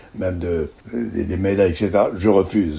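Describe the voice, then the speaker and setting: At a moderate pace, a man speaks at a very deep, low pitch with fairly even intonation. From Algeria. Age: 90s. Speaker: veteran journalist. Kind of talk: interview. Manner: halting.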